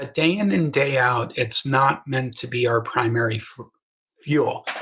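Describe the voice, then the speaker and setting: The pitch of this man's voice is mid-range, rising and falling in a typical way. He proceeds fairly slowly. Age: 60s. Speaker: health coach. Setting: livestream on webcam. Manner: enthusiastic.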